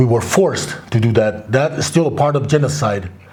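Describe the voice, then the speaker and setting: A man is speaking with audible room echo. Noticeable background noise runs through the clip. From Crow Indian Reservation, Montana, US. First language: Crow. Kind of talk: interview.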